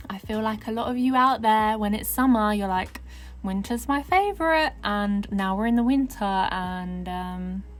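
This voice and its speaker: The speaker talks at a moderate pace in a southern English accent. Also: woman. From southern England. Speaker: gaming YouTuber. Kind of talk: casual chat over gameplay. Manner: casual, hesitant with fillers.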